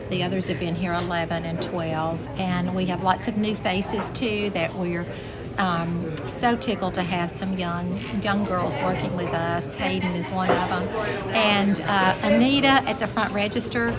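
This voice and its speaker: The speaker moves at a fairly slow pace with ordinary pitch variation, against loud background noise. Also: woman. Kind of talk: casual tour guide talk. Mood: warm, proud. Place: shop. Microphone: lapel.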